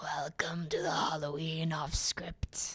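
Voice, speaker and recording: The put-on character voice is raspy and middle-pitched, delivered at a fairly slow pace. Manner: spooky, scary.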